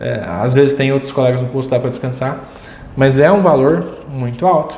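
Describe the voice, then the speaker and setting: A man in a Minas Gerais accent talks at a moderate pace in a medium pitch with ordinary pitch variation, over noticeable background noise. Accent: Minas Gerais (mineiro). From Brazil, Minas Gerais. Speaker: security industry educator. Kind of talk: tutorial. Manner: conversational, rhetorical questions.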